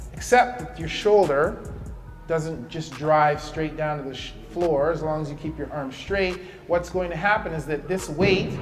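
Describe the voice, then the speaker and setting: With faint music in the background, a man talks at a moderate pace with ordinary pitch variation. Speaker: physical therapy instructor. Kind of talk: tutorial. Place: gym. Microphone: camera far.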